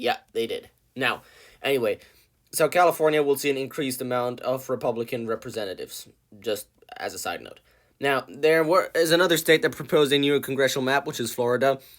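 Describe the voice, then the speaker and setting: A very fast-talking man at a fairly high pitch, on a very clean recording with a silent background. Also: ordinary pitch variation. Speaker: political commentary youtuber. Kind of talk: casual video commentary.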